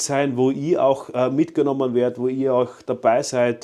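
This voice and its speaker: At a moderate pace, a man of medium pitch speaks in a dark, mellow tone over a quiet background. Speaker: motorcycle YouTuber. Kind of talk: casual vlog talk to camera. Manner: enthusiastic.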